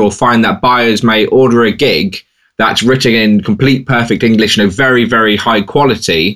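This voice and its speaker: An unremarkable speaking voice at a moderate pace, with very even loudness and ordinary pitch variation. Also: man. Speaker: podcast co-host and freelance seller. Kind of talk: casual podcast chat.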